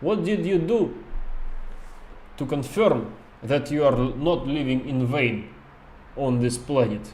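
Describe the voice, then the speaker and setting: Here a man speaks at a medium pitch with a Russian accent. He goes at a fairly slow pace. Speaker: game streamer talking to chat. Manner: casual, chatty.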